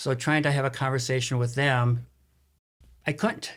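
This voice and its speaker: The speech comes at a very fast pace and sounds somewhat breathy. It is a very clean recording with a silent background. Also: man. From US Midwest, Saint Paul, Minnesota. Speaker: realtor and author. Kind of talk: interview. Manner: halting.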